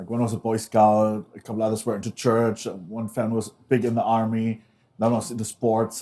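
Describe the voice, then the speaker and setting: Talking at a very fast pace, a man has a medium pitch and a dark, mellow tone. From Germany. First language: German. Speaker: former extremist turned activist, author. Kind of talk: interview before a live audience. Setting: stage with live audience.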